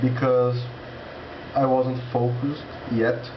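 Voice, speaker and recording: With a Portuguese accent, a man speaks at a medium pitch amid noticeable background noise and audible room echo. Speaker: language learner vlogger. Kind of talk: casual vlog monologue. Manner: halting, with many restarts.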